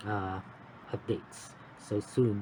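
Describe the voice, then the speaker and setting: A man speaks quietly. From Philippines. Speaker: cross-stitch vlogger. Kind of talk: casual vlog update. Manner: halting. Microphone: phone mic.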